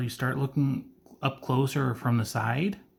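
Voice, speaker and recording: A man speaks at a medium pitch and moderate pace. His voice is somewhat breathy. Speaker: figure collector reviewer. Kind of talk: unboxing review. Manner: stuttering today; casual, conversational.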